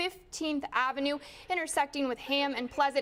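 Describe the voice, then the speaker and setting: Over noticeable background noise, a woman with a high voice talks at a fairly quick pace with fairly even intonation. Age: 20s. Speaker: TV news reporter. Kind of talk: TV news report.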